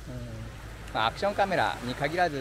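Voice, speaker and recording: A man speaks over noticeable background noise in a dry space with no echo. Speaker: travel vlogger. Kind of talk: casual vlog chat. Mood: relaxed, friendly. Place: beach. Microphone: phone near.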